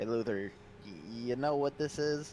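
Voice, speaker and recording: At a moderate pace and medium pitch, a man puts on a character voice over clear background noise. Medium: actual play. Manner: eager, excitable.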